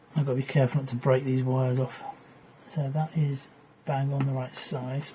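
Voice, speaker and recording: A man talks at a medium pitch and a fairly quick pace in a monotone, flat intonation. Noticeable background noise can be heard. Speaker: electronics repair youtuber. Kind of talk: tutorial. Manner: casual, thinking aloud.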